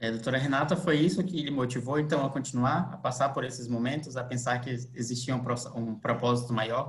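Somewhat breathy and medium in pitch, a man talks at a fairly quick pace with fairly even intonation. Audible room echo surrounds his voice. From Manaus, Brazil. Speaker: lawyer and guest interviewer. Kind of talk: interview. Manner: halting.

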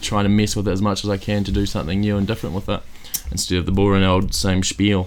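A deadpan tone at a very fast pace, in a New Zealand accent. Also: man. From Christchurch, New Zealand. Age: 20s. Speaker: comedian and kitchen maker. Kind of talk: casual chat. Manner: joking, deadpan.

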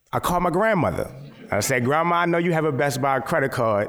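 Audible room echo surrounds a man with an American accent whose intonation is lively. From US, Baltimore, Maryland. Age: 30s. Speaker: photographer. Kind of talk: lecture.

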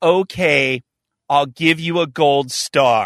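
A man in a put-on character voice, fairly high-pitched, at a very slow pace.

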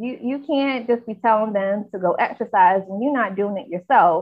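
In a normal speaking voice with an American accent, a woman speaks at medium pitch and a moderate pace, with ordinary pitch variation. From North Carolina, US South. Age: 20s. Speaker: health reporter. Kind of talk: casual chat.

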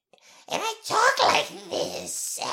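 The clip features a squeaky, put-on character voice. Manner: evil, high-pitched, swooping.

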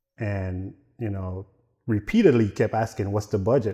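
A man's somewhat breathy voice with a dark, mellow tone and ordinary pitch variation against a quiet background. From Dominica, Caribbean; moved to New York at 15. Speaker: car enthusiast and builder. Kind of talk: casual interview.

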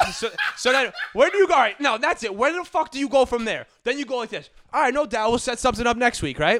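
At a very fast pace, a man with an extremely high voice and a bright, sharp tone talks with lively intonation. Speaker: podcast co-host.

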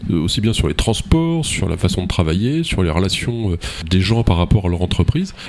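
A man's fairly low voice at a fairly slow pace, with very wide pitch swings against noticeable background noise. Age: 50s. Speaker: radio host. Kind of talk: radio political debate moderation.

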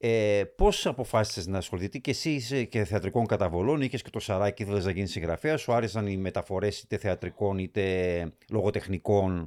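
With a silent background in a very clean recording, an ordinary speaking voice goes fairly quickly, its pitch varying in an ordinary way. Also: man, fairly low pitch for a man. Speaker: podcast host. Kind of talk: interview.

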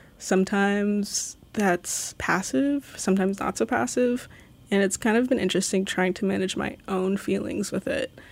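A woman's normal speaking voice at medium pitch and moderate pace, with ordinary pitch variation, on a very clean recording with a silent background. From Alaska (Sitka), early childhood in Los Angeles. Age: 20s. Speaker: city maintenance worker. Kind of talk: interview. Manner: casual with frequent fillers and laughter.

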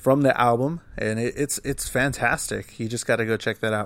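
At a moderate pace, a man with an American accent talks in an ordinary speaking voice, medium in pitch, with fairly even intonation. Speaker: podcast host and musician. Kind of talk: podcast interview.

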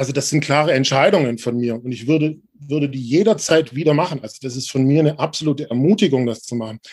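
This man talks at a very fast pace with hardly any pauses, using a fairly high pitch and ordinary pitch variation. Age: 40s. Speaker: journalist and organizational change consultant. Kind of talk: interview.

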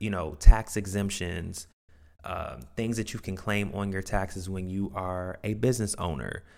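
A man's fairly low voice comes through on a very clean recording with a silent background. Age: 20s. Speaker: podcast host and real estate agent. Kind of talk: solo podcast monologue. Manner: enthusiastic, upbeat.

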